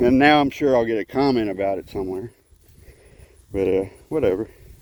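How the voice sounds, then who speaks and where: The speaker talks at a fairly quick pace with a Texan accent and ordinary pitch variation. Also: man, medium pitch for a man. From Texas, Houston. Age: 50s. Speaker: vlogger. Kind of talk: casual vlog monologue. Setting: outdoors, walking along a road.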